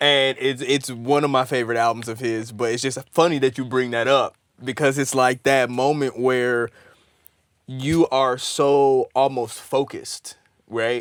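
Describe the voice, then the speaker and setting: Here a man speaks in an American accent at a medium pitch. His intonation is monotone and flat, and his pace is fairly slow. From Michigan, near Detroit. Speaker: musician. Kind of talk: casual chat.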